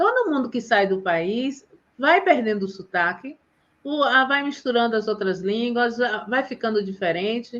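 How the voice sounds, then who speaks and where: Her delivery is fairly slow. This woman has a fairly high pitch and lively intonation. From Bahia, Brazil. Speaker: teacher and live host. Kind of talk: casual live chat. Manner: animated.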